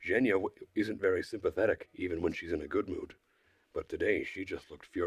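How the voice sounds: The recording features a natural reading voice.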